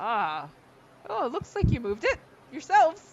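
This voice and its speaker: A put-on character voice at a fairly high pitch, with very wide pitch swings, at a moderate pace. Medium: actual play. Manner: friendly, casual.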